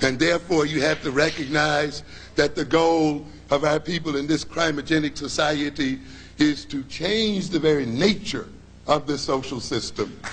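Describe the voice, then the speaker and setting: A man's fairly high, somewhat breathy voice at a moderate pace, with fairly even intonation. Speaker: psychologist and lecturer. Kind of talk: lecture.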